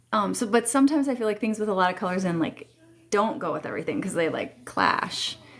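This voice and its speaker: Through noticeable background noise, a woman talks fairly quickly with lively intonation. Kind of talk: casual live stream chat. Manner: chatty, hesitant with fillers.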